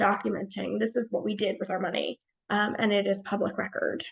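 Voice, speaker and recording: Medium-pitched female speech at a moderate pace, touched with vocal fry. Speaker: nonprofit consultant. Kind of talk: webinar presentation.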